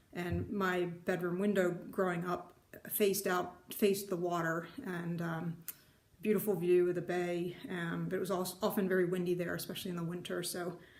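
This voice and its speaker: With audible room echo and noticeable background noise, a woman in an American accent speaks at a moderate pace with monotone, flat intonation and a fairly low pitch. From US Northeast, New Jersey shore. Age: 50s. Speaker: retired IT worker, needlework vlogger. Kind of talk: casual vlog introduction. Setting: home craft room. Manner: hesitant, many fillers.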